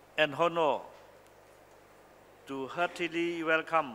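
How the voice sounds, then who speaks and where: A man's bright, sharp voice at a fairly slow pace, over light background noise. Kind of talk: formal opening speech. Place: hall. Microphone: podium.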